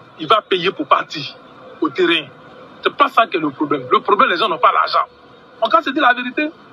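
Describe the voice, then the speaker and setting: With noticeable background noise around him, a man speaks in a dry, close sound with no echo, leaving long, frequent pauses. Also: fairly quick pace. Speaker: ordinary citizen. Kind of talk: rant. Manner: animated.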